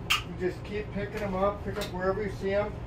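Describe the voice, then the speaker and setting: Moderate pace from a man, with noticeable background noise. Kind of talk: tutorial. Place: home room. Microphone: camera far.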